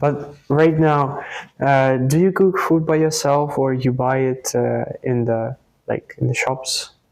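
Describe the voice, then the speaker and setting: Very slow speech with a Russian accent. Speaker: YouTube interviewer. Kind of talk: interview.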